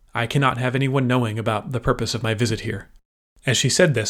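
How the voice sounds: A natural reading voice with fairly even intonation and a quiet background.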